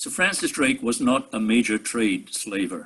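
A man with an English accent. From England. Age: 80s+. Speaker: resident giving public comment. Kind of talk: public comment at council meeting. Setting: video call.

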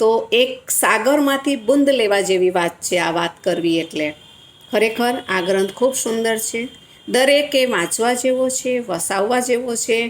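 A fairly high-pitched woman's voice with lively intonation over noticeable background noise. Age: 60s. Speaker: retired teacher. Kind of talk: book review.

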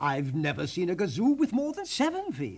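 A man does a put-on character voice at a high pitch, with vocal fry and a slightly husky edge. The tone is slightly mellow, the pitch swings very widely, and the pace is moderate.

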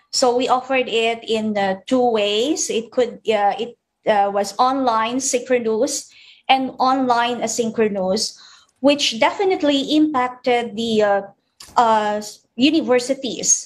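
A woman with a high pitch speaks fairly slowly, her pitch varying in an ordinary way. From Philippines. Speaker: university department head. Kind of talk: news interview. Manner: halting. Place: home room. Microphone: video call.

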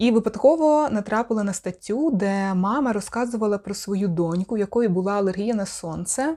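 In a very clean recording with a silent background, a woman with a medium pitch and a dark, mellow tone speaks at a fairly slow pace with ordinary pitch variation. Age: 30s. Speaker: video blogger and sexology student. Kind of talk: vlog monologue.

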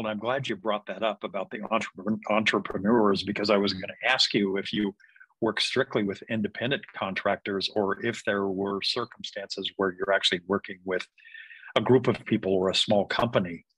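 Dry and close with no echo, a man's fairly low voice has a bright, sharp tone, fairly even intonation and a fairly quick pace. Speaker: podcast host. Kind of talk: podcast interview.

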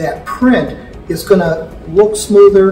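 A man speaks with audible room echo. Clear music can be heard behind him. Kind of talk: interview answer. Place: hall.

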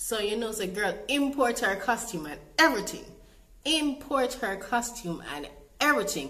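A woman with a Jamaican accent speaks at a moderate pace in a fairly high pitch, her upbeat, animated tone marked by very wide pitch swings and big swings in loudness. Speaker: vlogger. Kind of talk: casual storytime talk to camera. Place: home room.

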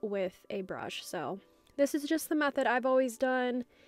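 A woman's words come at a moderate pace while music runs in the background. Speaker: press-on nail artist. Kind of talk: work-with-me voiceover tutorial.

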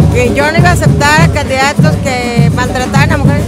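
A woman speaks at a moderate pace in a dry sound with no echo, with loud music playing in the background. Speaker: politician. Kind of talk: interview answer to press. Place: street. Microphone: lapel.

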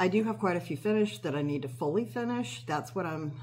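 Over light background noise, a woman talks very fast with ordinary pitch variation. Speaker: cross-stitch hobby vlogger. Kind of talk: casual vlog chat. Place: kitchen. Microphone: phone near.

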